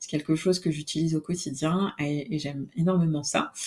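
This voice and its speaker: A woman's dark, mellow, somewhat breathy voice, fairly low in pitch, at a moderate pace with fairly even intonation. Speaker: podcast host. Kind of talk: solo podcast monologue. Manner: hesitant, many fillers.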